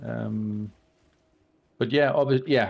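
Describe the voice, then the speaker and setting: His delivery is fairly slow. The man's pitch sits in the medium range. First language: not English. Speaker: video game streamer. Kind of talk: casual chat. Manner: halting, many fillers.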